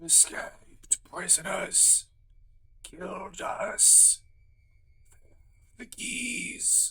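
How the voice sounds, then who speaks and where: A raspy, put-on character voice at a very slow pace, broken by long, frequent pauses. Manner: eerie, ghostly.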